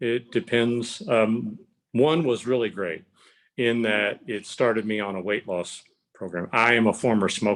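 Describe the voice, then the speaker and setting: A man with a plain, everyday voice speaks at a fairly slow pace, using ordinary pitch variation. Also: medium pitch for a man. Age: 60s. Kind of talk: interview.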